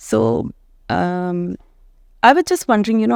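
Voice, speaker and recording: Recorded with a dry, close sound, no echo and a silent background, a woman with an Indian accent speaks at a fairly slow pace. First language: Hindi. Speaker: author and English professor. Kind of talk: interview.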